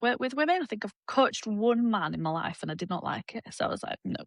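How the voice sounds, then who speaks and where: Speaking at a very fast pace with a Yorkshire accent, a woman makes very wide pitch swings, recorded in a dry, close sound with no echo. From Yorkshire, northern England. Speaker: fitness coach. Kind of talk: casual chat.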